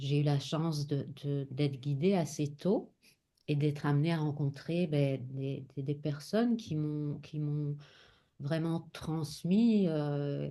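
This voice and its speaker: Against a quiet background, a woman with a very deep, low pitch and a dark, mellow tone speaks at a very slow pace with ordinary pitch variation. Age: 50s. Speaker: spiritual teacher and oracle author. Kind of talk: casual chat. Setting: live stream. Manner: halting, many repetitions and hesitations.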